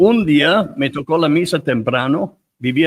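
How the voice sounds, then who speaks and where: Speaking in an English accent, a man uses lively intonation. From United States. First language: English (speaking Spanish). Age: 70s. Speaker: priest. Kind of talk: interview storytelling. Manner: halting, with many repetitions.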